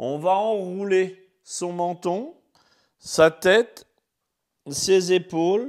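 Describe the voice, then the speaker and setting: A man speaks very slowly in a calm tone, leaving long, frequent pauses. His pitch is high for a man, with ordinary variation. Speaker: fitness coach. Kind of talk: guided exercise class, live stream. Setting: home, live video broadcast. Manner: soft-spoken; calm, slow instructions. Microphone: mic close to mouth.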